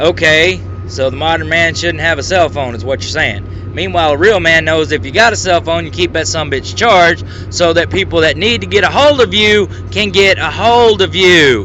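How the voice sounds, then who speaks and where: A man with an American accent speaks at a moderate pace in a fairly high pitch. His pitch swings very widely over noticeable background noise. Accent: Southern US, hillbilly-sounding. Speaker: YouTube commentator. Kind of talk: rant video commentary. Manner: animated.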